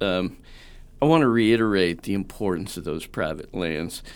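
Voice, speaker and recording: With an American accent, a man talks at a moderate pace in an ordinary speaking voice, fairly low in pitch, with lively intonation. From Southern Indiana. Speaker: wildlife ecology professor. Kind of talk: interview. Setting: studio.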